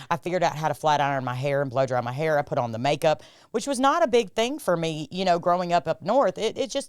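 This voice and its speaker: On a very clean recording with a silent background, a woman talks at a very fast pace in an animated tone with very wide pitch swings. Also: fairly low pitch for a woman. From New England (New Hampshire), moved to Alabama at 13. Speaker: guest sharing recovery story. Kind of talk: testimony.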